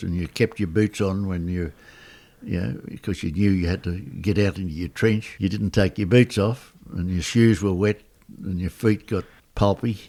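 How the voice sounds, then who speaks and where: A man's very deep, low voice, dark and mellow in tone, with an Australian accent. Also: ordinary pitch variation, moderate pace. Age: 90s. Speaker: war veteran. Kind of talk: interview answer.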